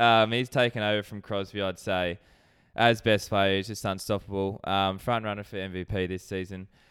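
A man talks with an Australian accent. His intonation is monotone and flat. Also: fairly low pitch for a man, moderate pace. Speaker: sports betting podcast co-host. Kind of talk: casual chat.

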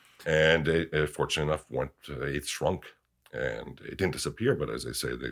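A man speaks at a very deep, low pitch with vocal fry. The recording is very clean, with a silent background. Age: 40s. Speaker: widower sharing personal story. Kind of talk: interview about grief.

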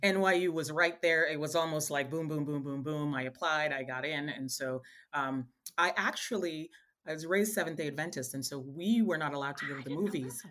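With ordinary pitch variation, the words arrive at a fairly quick pace. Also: woman, very deep, low pitch for a woman. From Caribbean (Montserrat, Virgin Islands), moved to US at 11. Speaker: entrepreneur and filmmaker. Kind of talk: interview.

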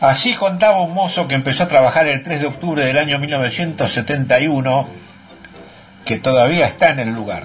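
A fairly high-pitched man talks while noticeable noise sounds behind him. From Buenos Aires. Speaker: city walks segment presenter. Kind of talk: narrated travel report.

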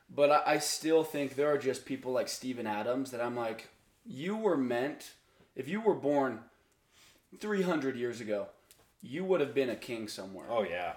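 A man's normal speaking voice at a medium pitch, with lively intonation. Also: moderate pace. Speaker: podcast guest. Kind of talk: casual chat.

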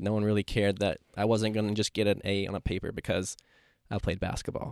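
A man with an American accent and a fairly low pitch speaks very fast in a monotone, flat way. The recording is very clean with a silent background and a dry, close sound with no echo. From Asheville, North Carolina. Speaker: podcast host and real estate agent. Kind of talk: casual interview.

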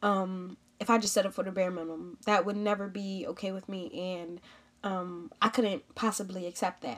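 Here is a normal speaking voice from a woman, medium in pitch, with ordinary pitch variation at a moderate pace. Her loudness swings widely. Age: 20s. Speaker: podcast host and professional football player. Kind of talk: solo podcast monologue. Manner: casual, frequent filler words.

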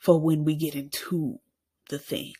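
On a very clean recording with a silent background, a woman with a fairly low pitch speaks somewhat breathily at a fairly slow pace. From Arkansas, US South. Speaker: podcast host. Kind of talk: casual monologue. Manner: animated.

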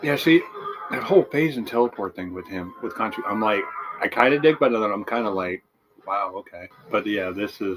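A man's normal speaking voice at a medium pitch, fairly quick pace and lively intonation. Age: 40s. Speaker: podcast co-host. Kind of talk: casual chat.

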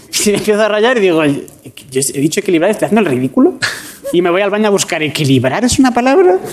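Against noticeable background noise, a man talks very fast at a high pitch, his voice swinging very widely up and down. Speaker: comedian. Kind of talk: comedic banter. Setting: studio with live audience.

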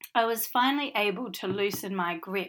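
A woman with an Australian accent speaks at a medium pitch in a very clean recording with a silent background. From Western Australia, Perth. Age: 40s. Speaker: podcast host, author. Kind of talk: casual monologue.

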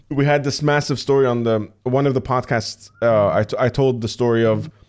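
A man's unremarkable speaking voice at medium pitch, with fairly even intonation and a moderate pace. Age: 30s. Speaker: podcast host and streamer. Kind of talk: casual chat.

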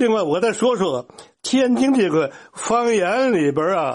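Against a quiet background, a man with a high voice speaks fairly slowly, his pitch swinging very widely. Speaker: dialect expert. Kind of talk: lecture.

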